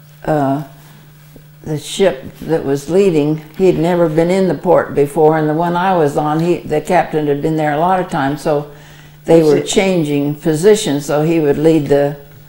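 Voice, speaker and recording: Amid noticeable background noise, a woman with an American accent speaks at a very deep, low pitch and a fairly slow pace, with fairly even intonation and long, frequent pauses. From Arizona, USA. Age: 80s+. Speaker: WWII Red Cross veteran. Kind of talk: interview answer.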